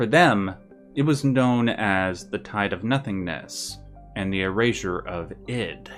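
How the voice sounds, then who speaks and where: Over music in the background, a man talks with lively intonation at a fairly low pitch. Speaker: guest narrator presenting a written script. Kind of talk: lore narration of a fictional universe history. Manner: calm, soft ASMR-like delivery.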